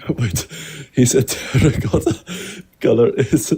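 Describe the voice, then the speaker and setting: With a non-native accent, a man talks at a medium pitch in a dark, mellow tone that is somewhat breathy. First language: not English. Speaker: panel participant. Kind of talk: casual debate stream chat. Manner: halting.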